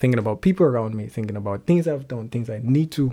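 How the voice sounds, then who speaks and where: A man's dark, mellow voice with lively intonation, on a very clean recording with a silent background. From Nigeria, Lagos. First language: Yoruba. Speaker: singer-songwriter. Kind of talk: casual interview chat. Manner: halting, hesitant, laughs often.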